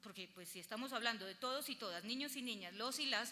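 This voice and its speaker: A woman talks at a very fast pace with a high pitch, ordinary pitch variation and a bright, sharp tone. Audible room echo fills the recording. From Colombia, Antioquia (paisa). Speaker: lawyer and lecturer. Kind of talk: conference lecture.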